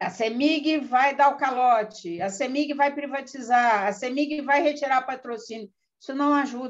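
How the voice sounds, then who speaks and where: Pitched high, a woman speaks at a fairly slow pace with ordinary pitch variation. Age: 60s. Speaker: pension fund board candidate. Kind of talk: live stream panel talk. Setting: online live stream. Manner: hesitant, many fillers.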